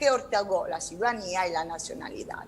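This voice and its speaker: Over noticeable background noise, a woman with a non-native accent swings very widely in pitch. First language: Italian (speaking Spanish). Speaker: law professor. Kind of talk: conference talk. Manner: halting.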